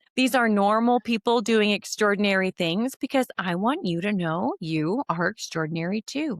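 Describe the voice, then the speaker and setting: A woman speaks in a normal speaking voice with an American accent, medium pitch, and lively intonation at a moderate pace. The sound is dry and close, with no echo. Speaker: podcast host. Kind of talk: casual podcast interview. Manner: warm, lively, chatty.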